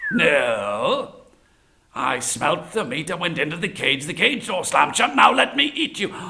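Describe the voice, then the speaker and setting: A man puts on a character voice, pitched high. He keeps a moderate pace. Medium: read story. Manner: sly, coaxing.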